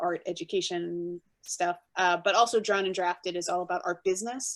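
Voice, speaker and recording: A woman speaks at a fairly quick pace. Her fairly low voice keeps a fairly even intonation. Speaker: book art director. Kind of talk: interview. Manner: fast.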